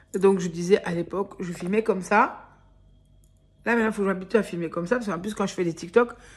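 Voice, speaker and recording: A woman with a medium pitch sounds somewhat breathy. She talks at a very fast pace but leaves long, frequent pauses. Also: very clean recording, silent background. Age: 30s. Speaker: vlogger. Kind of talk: casual vlog. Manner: hesitant, filler-heavy.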